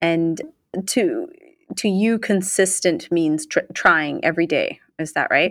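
A woman speaks at a fairly slow pace in a normal speaking voice, with medium pitch and ordinary pitch variation. The recording is very clean and the background silent. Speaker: podcast co-host. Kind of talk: interview.

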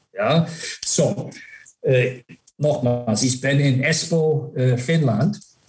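Very slowly and with long, frequent pauses, a man speaks in a fairly high, somewhat breathy voice, with ordinary pitch variation and very even loudness. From US, Buffalo area. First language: English (speaking German). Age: 50s. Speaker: former ice hockey player and manager. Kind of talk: interview. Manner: halting, mixes English into German.

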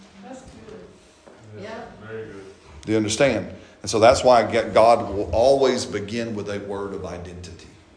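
A man with an American accent talks at a fairly low pitch, with big swings in loudness. Long, frequent pauses break up his speech amid audible room echo. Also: moderate pace. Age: 50s. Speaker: pastor. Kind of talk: sermon. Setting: church. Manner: animated.

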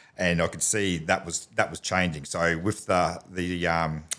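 A man with an Australian accent speaks in a bright, sharp tone at a very deep, low pitch. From Australia, Townsville, North Queensland. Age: 40s. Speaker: business owner. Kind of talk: casual interview. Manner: halting, many fillers and repeats.

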